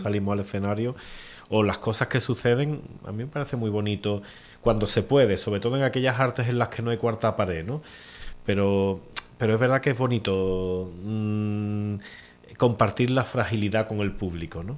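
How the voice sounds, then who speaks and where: Speaking with an Andalusian accent, a man talks in a fairly low voice. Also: ordinary pitch variation, moderate pace. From Cádiz province, Andalusia, Spain. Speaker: poet. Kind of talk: interview answer.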